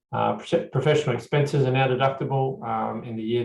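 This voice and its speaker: A man's somewhat breathy voice runs at a fairly quick pace. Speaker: accountant presenting a tax webinar. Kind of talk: webinar presentation. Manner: fast; hesitant, many fillers.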